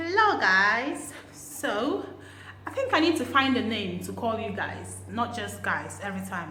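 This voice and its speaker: Noticeable background noise fills the clip. A woman's voice comes through it. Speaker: language teacher vlogger. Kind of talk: casual talk to camera.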